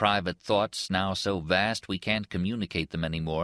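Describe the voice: The voice is plain reading aloud. Nothing more is marked.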